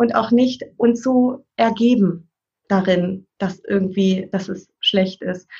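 A woman's somewhat breathy voice carries a dark, mellow tone and fairly even intonation. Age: 40s. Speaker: parent and family counselor. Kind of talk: casual interview chat.

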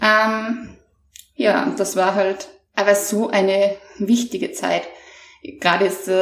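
A woman with a medium pitch speaks with vocal fry. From Austria. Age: 30s. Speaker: mental trainer. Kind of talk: interview, personal testimony.

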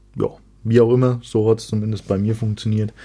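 A man's fairly low voice has a dark, mellow tone. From Franconia, Germany. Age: 20s. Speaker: fitness podcast host. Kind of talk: solo podcast monologue. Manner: casual with frequent filler sounds.

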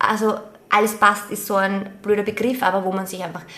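Over noticeable background noise, a woman with an Austrian accent speaks at a moderate pace. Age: 30s. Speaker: podcast co-host and teacher. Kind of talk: casual chat.

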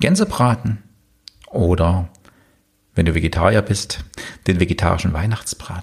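A man with a very deep, low voice and a somewhat breathy sound speaks at a moderate pace, leaving long, frequent pauses. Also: ordinary pitch variation. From eastern Germany. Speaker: business coach and podcast host. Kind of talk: solo podcast monologue.

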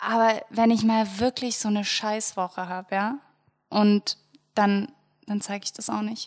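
The speech moves at a fairly slow pace with long, frequent pauses and monotone, flat intonation. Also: woman, fairly high pitch for a woman. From Germany, Munich. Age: 20s. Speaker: lifestyle blogger, podcast co-host. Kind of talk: casual chat.

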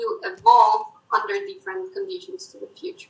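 A raised, projected voice with a Spanish accent, bright and sharp in tone, with very wide pitch swings at a moderate pace. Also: woman. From Colombia. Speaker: mathematician. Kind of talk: interview.

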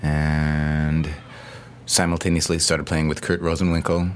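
Very low and deep, a man's voice is heard with noticeable noise around it. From US Pacific Northwest, near Seattle. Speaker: jazz pianist and composer. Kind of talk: interview. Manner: hesitant, many fillers.

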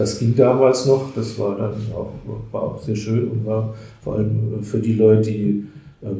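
In a room with audible echo, a man with a fairly low pitch speaks at a fairly slow pace. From Palatinate, Germany. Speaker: community volunteer. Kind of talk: interview.

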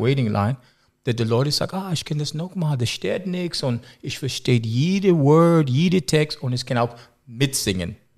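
This man speaks with an English accent and lively intonation. The recording is very clean, with a silent background. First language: English (speaking German). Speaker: music producer. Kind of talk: casual interview. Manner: halting.

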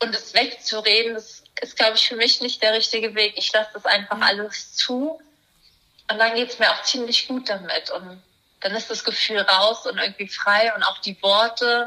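This woman has a fairly high pitch and monotone, flat intonation. She keeps a moderate pace. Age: 20s. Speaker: primatologist and animal welfare activist. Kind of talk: casual interview.

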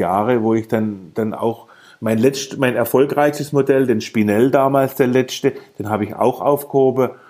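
A man speaks at a moderate pace in a medium pitch with a dark, mellow tone. His intonation stays fairly even. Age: 50s. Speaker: model pilot, aerobatics competitor. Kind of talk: casual interview. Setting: Skype call.

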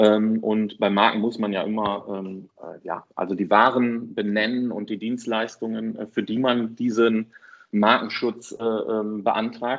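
A man speaks very slowly at medium pitch, with monotone, flat intonation. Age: 40s. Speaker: online marketing entrepreneur, deals portal founder. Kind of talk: podcast interview. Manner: hesitant, many fillers.

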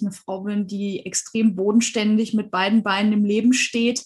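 Monotone, flat intonation runs through speech that unfolds at a fairly slow pace. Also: woman. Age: 40s. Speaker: hypnosis and past-life regression coach. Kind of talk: interview.

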